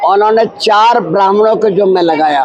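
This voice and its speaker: Noticeable background noise plus audible room echo. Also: man. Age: 80s+. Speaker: religious guru. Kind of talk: interview. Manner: halting.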